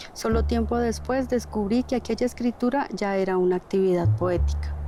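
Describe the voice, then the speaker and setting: A woman talks at a moderate pace while noticeable background noise carries on behind her. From Colombia, Cauca (Misak community). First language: Namuiguam (Misak language) (speaking Spanish). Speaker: poet and sociologist. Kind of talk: personal testimony. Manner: measured, literary.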